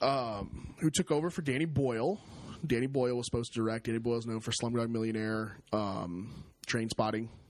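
With an ordinary speaking voice, a man talks at a fairly quick pace, medium pitch and ordinary pitch variation. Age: 20s. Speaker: movie podcast co-host. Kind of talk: casual chat.

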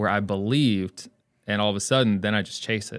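Here a man with an American accent uses an ordinary speaking voice, a fairly low pitch and ordinary pitch variation on a very clean recording with a silent background. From North Carolina and northeast Ohio. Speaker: optical shop owner. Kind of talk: casual interview. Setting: studio.

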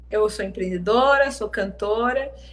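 A woman's voice carries audible room echo. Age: 30s. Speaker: singer and songwriter. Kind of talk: casual interview. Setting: live-streamed video interview.

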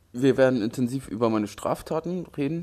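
A man with a medium pitch and a dark, mellow tone talks at a moderate pace. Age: 20s. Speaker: graffiti artist and true crime YouTuber. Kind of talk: casual vlog monologue. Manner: casual slangy.

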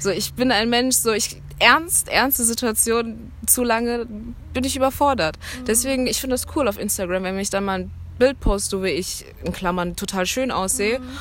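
A woman speaks in a plain, everyday voice at a moderate pace, her fairly high pitch moving with ordinary variation. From Germany, Cologne. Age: 20s. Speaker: student. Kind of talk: interview.

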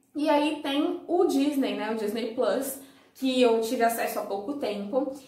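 Audible room echo surrounds a woman speaking at a fairly slow pace. Her pitch is high, with ordinary pitch variation. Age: 20s. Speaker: YouTuber. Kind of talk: casual vlog review.

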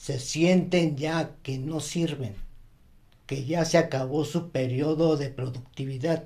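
Somewhat breathy and dark, mellow in tone, a man with a fairly high pitch speaks very slowly with fairly even intonation and long, frequent pauses. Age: 60s. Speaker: retired banker. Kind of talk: casual chat.

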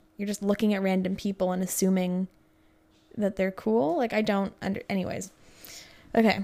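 A woman with a dark, mellow tone and medium pitch talks at a fairly quick pace. She leaves long, frequent pauses. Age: 20s. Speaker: podcast host. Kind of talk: reading aloud with commentary. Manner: animated.

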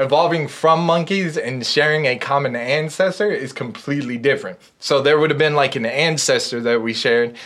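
Using a plain, everyday voice, a man talks at a fairly quick pace with hardly any pauses, his fairly high pitch showing ordinary variation. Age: 30s. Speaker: atheist guest. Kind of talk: casual chat.

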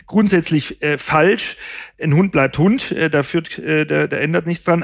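Speaking with a high pitch and ordinary pitch variation, a man talks. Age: 50s. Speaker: pet food nutrition expert. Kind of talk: casual chat. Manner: halting, many fillers.

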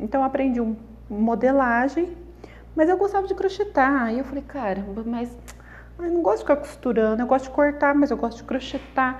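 A woman's high-pitched voice at a moderate pace. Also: lively intonation. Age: 30s. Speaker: crochet artisan and podcaster. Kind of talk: personal storytelling monologue. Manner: casual, chatty.

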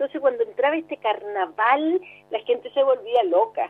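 A woman's high-pitched voice with very wide pitch swings, at a moderate pace. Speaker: actress. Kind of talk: interview.

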